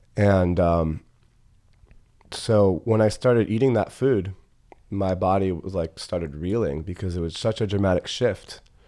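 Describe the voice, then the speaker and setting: With long, frequent pauses, a man speaks in a very deep, low voice with a dark, mellow tone. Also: ordinary pitch variation, moderate pace. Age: 30s. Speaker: holistic health practitioner. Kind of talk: casual chat.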